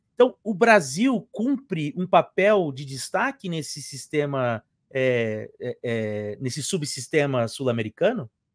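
The man's pitch swings very widely as he talks at a very slow pace. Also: hardly any pauses, quiet background, dry sound with no echo. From Brazil. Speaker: history professor and YouTuber; history professor, YouTuber. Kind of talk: interview. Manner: hesitant, repeats words. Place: home room.

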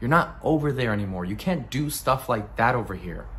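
The voice is gravelly, with an intense tone and ordinary pitch variation. Light background noise can be heard. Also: man. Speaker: actor performing a monologue. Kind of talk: dramatic monologue, acted performance of a character. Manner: gritty, intense, conversational storytelling. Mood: bitter, angry recollection. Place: home room. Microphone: phone near.

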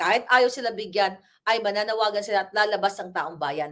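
A woman speaks in an angry tone that is bright and sharp. The recording is very clean, with a silent background. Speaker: political commentator. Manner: angry, fiery; emphatic, rhetorical.

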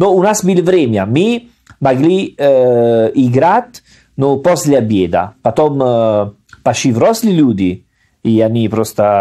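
Speaking very slowly with an Italian accent, a man uses a dark, mellow tone and very wide pitch swings. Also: medium pitch for a man, very even loudness. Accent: Italian-accented Russian. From Salerno, Italy. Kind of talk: casual conversational podcast. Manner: fluent but with grammar errors.

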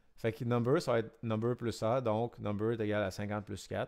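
This man speaks with a Quebec accent at a moderate pace and medium pitch. The recording is very clean, with a silent background. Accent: Québécois. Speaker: electronics and programming teacher. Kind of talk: tutorial. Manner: casual, hesitant with many fillers.

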